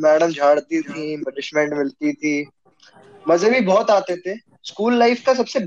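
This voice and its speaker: A man with a high voice swings his pitch very widely, pausing long and often, in a dry, close recording with no echo. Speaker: student, host's classmate. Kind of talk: casual chat.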